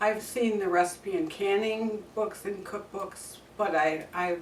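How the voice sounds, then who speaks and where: Noticeable background noise and audible room echo surround a woman speaking at a fairly slow pace. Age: 70s. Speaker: cooking channel host. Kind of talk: cooking tutorial. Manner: casual, conversational.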